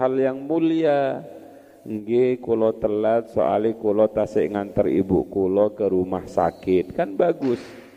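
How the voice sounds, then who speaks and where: A man with a plain, everyday voice speaks fairly slowly with lively intonation. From Madura, Indonesia. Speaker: Islamic boarding school teacher (kiai). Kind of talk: religious lecture, classical text study.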